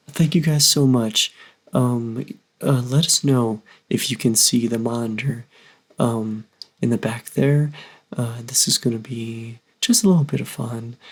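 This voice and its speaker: Mumbling and somewhat breathy, a man at a medium pitch talks at a fairly slow pace with long, frequent pauses and ordinary pitch variation. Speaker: YouTube reaction channel co-host. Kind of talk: casual reaction chat. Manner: mumbling, hesitant.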